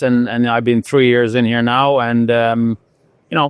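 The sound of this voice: Speaking at a fairly slow pace, a man has a medium pitch, a clear, smooth tone and little pitch movement. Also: dry, close sound with no echo.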